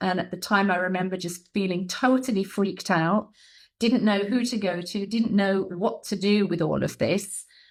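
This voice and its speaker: On a very clean recording with a silent background, a woman with an English accent speaks at medium pitch and a moderate pace, with ordinary pitch variation. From England. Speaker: soul healer and mentor. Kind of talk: podcast interview.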